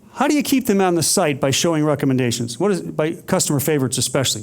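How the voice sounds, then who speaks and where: A man with an American accent, animated and very fast, his pitch swinging very widely amid audible room echo. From United States. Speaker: conference speaker. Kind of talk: conference presentation. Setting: stage with audience.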